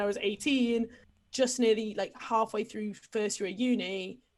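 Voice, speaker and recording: Speaking at a moderate pace, a woman has an English accent. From England. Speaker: podcast guest. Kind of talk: casual chat. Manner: animated.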